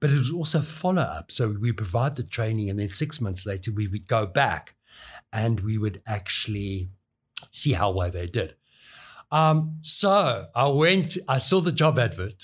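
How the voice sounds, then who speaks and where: A somewhat breathy man's voice at medium pitch, very wide pitch swings, a fairly slow pace, and a very clean recording with a silent background. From South Africa, KwaZulu-Natal South Coast. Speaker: college skills development lead. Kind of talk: casual interview, personal storytelling.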